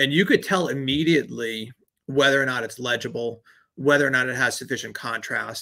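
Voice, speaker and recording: A man with a slight New York accent speaks at a medium pitch and a fairly quick pace. His tone is bright and sharp, with ordinary pitch variation. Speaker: branding agency owner. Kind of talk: podcast interview.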